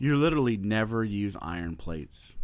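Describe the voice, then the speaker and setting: A man with a fairly low pitch makes very wide pitch swings on a very clean recording with a silent background. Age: 40s. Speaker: podcast host, weightlifter. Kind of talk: casual monologue. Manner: animated; repetitive, halting.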